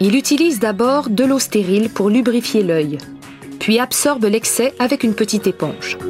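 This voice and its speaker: Music plays as a woman speaks at a moderate pace. Her fairly high voice has lively intonation. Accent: Quebec. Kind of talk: documentary narration.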